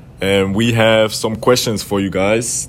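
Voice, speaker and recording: A man speaks with a German accent. His pitch variation is ordinary. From Germany. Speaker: college student interviewer. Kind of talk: casual interview. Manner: casual, slangy.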